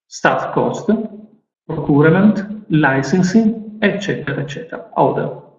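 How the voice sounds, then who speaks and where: In an Italian accent, a man speaks fairly slowly at a high pitch with ordinary pitch variation. Audible room echo surrounds his voice. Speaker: IT specialist. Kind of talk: conference presentation. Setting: stage with audience. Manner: halting.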